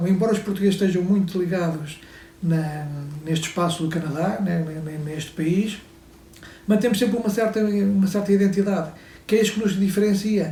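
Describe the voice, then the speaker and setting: A man's high-pitched voice with fairly even intonation, a moderate pace, long and frequent pauses, and audible room echo. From Portugal. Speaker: photographer and pavement specialist. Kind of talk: interview. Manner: halting.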